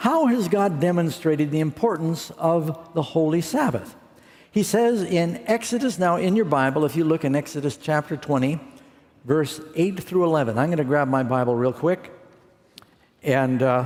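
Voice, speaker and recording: A man with a fairly high pitch and a plain, everyday voice talks at a moderate pace. His intonation is lively and his loudness very even. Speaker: preacher. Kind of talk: sermon.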